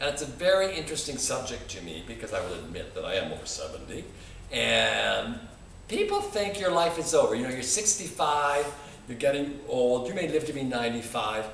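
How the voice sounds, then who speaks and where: A man talks at a fairly quick pace, his loudness swinging widely, with noticeable background noise and audible room echo. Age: 80s+. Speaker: author. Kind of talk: casual monologue.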